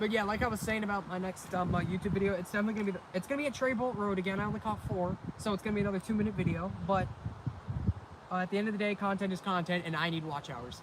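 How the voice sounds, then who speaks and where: Very fast, high-pitched male speech with ordinary pitch variation over noticeable background noise. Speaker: railfan livestreamer. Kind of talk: live stream chat. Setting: outdoors.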